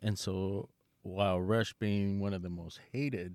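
In a very clean recording with a silent background, a man talks in an ordinary speaking voice, fairly low in pitch. His intonation is fairly even, and the sound is dry and close with no echo. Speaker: lucha libre fan and trained wrestler. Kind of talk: casual podcast chat.

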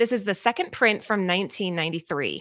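An animated, bright, sharp tone with lively intonation rings out on a very clean recording with a silent background. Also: woman. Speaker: comic book co-host. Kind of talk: casual chat.

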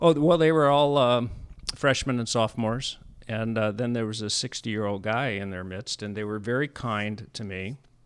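This speaker has a Californian accent and talks at a moderate pace with ordinary pitch variation and big swings in loudness. The recording is very clean, with a silent background. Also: man, medium pitch for a man. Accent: General American (California). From US West Coast, San Diego area. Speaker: podcast host, retired businessman. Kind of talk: casual chat.

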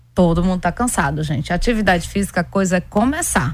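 This woman has a normal speaking voice, pitched fairly low, with ordinary pitch variation. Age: 40s. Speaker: endocrinologist. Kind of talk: radio interview.

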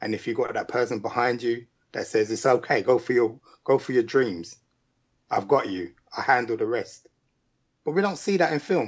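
A man's medium-pitched voice in a London accent, with lively intonation, a moderate pace and long, frequent pauses. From UK. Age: 40s. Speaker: indie filmmaker and musician. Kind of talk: casual interview.

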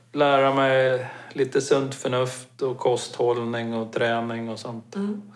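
With ordinary pitch variation, a man's medium-pitched voice moves along at a very slow pace. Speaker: mountaineering expedition participant. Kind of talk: casual interview.

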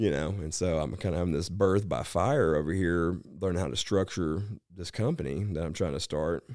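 On a very clean recording with a silent background, a man speaks at a moderate pace in a very deep, low pitch with ordinary pitch variation. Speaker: bounty hunter. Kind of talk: casual chat. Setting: studio.

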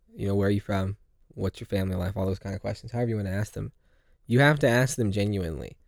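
A man with an American accent talks at a very fast pace, recorded dry and close with no echo. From California. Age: young. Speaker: evangelist. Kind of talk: casual chat.

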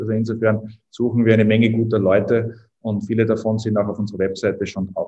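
A man's medium-pitched voice with a slight Viennese accent, fairly quick in pace and flat, monotone in intonation. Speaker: startup co-founder. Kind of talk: interview.

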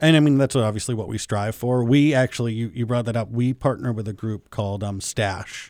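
In a normal speaking voice, a man talks at a fairly quick pace and medium pitch with ordinary pitch variation and hardly any pauses, on a very clean recording with a silent background. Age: 30s. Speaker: hotel owner. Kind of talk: radio interview.

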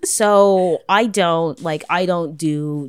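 A woman with a fairly low pitch and a Toronto accent, in a very clean recording with a silent background. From Canada, Toronto (Jane and Finch). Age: 30s. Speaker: sex worker and streamer. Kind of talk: casual chat.

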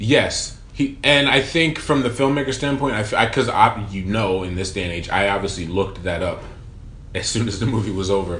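Here is a man speaking in a normal speaking voice with a fairly low pitch. He moves at a fairly quick pace with lively intonation. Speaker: podcast co-host. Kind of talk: casual chat.

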